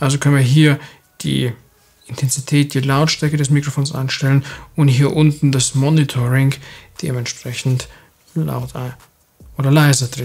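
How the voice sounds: The man talks at a moderate pace and a medium pitch, with little pitch movement and vocal fry. His tone is slightly mellow with a slightly husky edge.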